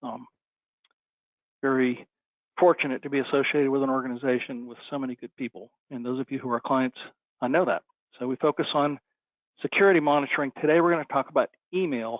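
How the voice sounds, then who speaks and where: A man with a fairly high pitch talks at a very fast pace, using fairly even intonation and long, frequent pauses. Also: big swings in loudness. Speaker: IT services company presenter. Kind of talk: webinar presentation. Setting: online webinar.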